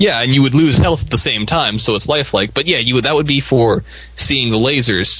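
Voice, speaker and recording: This man talks at a fairly quick pace with a medium pitch, ordinary pitch variation and very even loudness, over noticeable background noise. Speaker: co-host. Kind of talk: casual banter.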